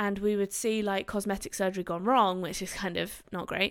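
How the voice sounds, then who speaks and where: A woman with a British accent talks at a medium pitch, recorded very cleanly with a silent background. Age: 20s. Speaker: doctor and podcast host. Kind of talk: casual solo podcast talk. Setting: recording on camera.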